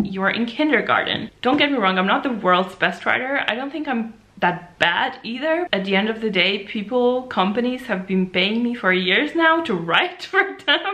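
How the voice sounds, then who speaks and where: A woman at a moderate pace with hardly any pauses and very wide pitch swings, over noticeable background noise. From Slovenia. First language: Slovene. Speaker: beauty blogger. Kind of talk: casual vlog recap. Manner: casual, filler-heavy.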